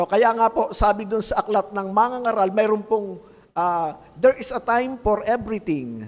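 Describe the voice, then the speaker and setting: A man's high-pitched voice at a fairly slow pace, with ordinary pitch variation, on a very clean recording against a silent background. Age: 50s. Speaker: pastor. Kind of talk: sermon. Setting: livestream. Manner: halting.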